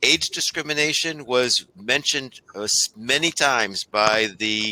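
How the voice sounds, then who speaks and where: Recorded dry and close with no echo, a man with a bright, sharp tone speaks at a fairly slow pace. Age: 60s. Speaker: state labor economist. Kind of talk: panel Q&A answer.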